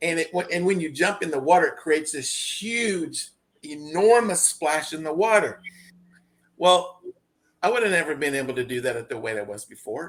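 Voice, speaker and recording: A man speaks in a normal speaking voice at a moderate pace, his fairly high pitch moving with lively intonation. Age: 60s. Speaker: interview guest on weight loss. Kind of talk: casual interview. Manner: repeats words, false starts.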